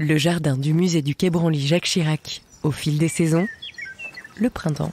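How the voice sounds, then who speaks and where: Background noise can clearly be heard. The delivery is fairly slow. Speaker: voice-over narrator. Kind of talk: poetic narration for an audio guide.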